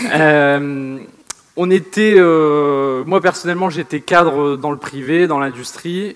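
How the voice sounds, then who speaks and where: A man with a northern French accent speaks very slowly at a fairly high pitch. His pitch varies in an ordinary way. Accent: northern French, sing-song. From northern France. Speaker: online entrepreneur. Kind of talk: seminar presentation.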